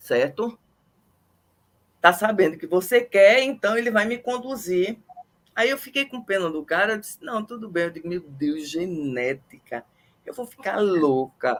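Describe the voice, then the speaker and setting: Very wide pitch swings and big swings in loudness mark a woman's medium-pitched voice. She talks at a fairly slow pace with long, frequent pauses. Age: 60s. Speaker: microbiologist interviewer. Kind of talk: casual interview chat. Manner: animated.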